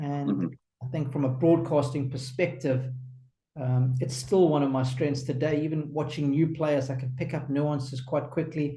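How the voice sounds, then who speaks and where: Somewhat breathy and flat, a man talks at a moderate pace with a fairly high pitch, a dark, mellow tone and monotone intonation. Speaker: tennis commentator and former pro player. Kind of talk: interview answer.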